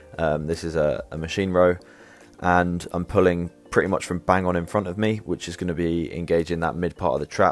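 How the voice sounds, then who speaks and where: A man with a British accent speaks in a very deep, low pitch with monotone, flat intonation. Faint music plays in the background of a dry sound with no echo. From England. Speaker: fitness youtuber; fitness content creator. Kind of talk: tutorial. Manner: halting, with fillers. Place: garden. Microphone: earbuds.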